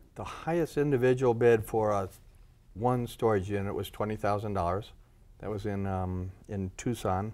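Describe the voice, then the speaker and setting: This is a man with a fairly low pitch. He talks at a moderate pace. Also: ordinary pitch variation. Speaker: storage unit auctioneer. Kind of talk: interview answer. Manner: hesitant, casual.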